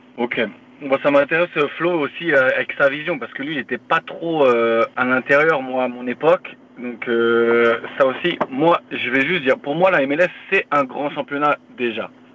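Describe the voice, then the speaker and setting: Noticeable background noise is present as a man speaks. He moves at a fairly slow pace with ordinary pitch variation. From France, Paris region (Yvelines). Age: 30s. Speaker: professional football defender. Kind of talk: podcast interview.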